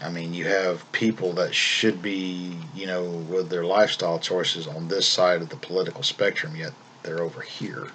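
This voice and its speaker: In a slight Southern US accent, a man with a very deep, low pitch speaks at a moderate pace with fairly even intonation and hardly any pauses. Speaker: vlogger. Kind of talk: casual monologue vlog. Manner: calm; halting, repeats words.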